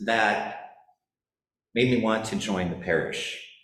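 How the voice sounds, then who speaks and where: Audible room echo hangs around a somewhat breathy man's voice. He has a slight South Dakota accent. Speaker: church parishioner. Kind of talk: personal testimony at church forum. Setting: church forum. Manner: halting, many fillers.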